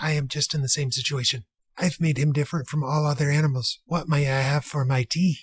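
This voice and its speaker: Here a man puts on a character voice at a fairly high pitch. He talks at a fairly quick pace. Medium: read story.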